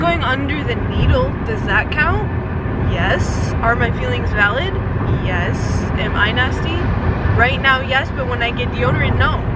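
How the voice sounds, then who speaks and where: Delivered at a fairly slow pace with long, frequent pauses, the speech sounds dry with no echo against loud background noise. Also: woman. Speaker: vlogger. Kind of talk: casual vlog chat. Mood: playful, slightly anxious. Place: car. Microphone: phone near.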